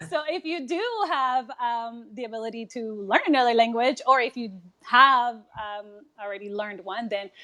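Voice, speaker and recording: A woman with a Spanish accent speaks at a moderate pace and a fairly high pitch, with ordinary pitch variation. Her loudness swings in big jumps. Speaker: nurse. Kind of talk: casual chat.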